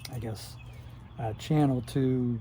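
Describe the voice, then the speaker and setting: A somewhat breathy voice with an American accent speaks at a very slow pace in a dark, mellow tone, with ordinary pitch variation. Audible room echo surrounds it. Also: man. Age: 60s. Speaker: retired YouTuber reminiscing. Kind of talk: casual monologue. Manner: halting, many filler words.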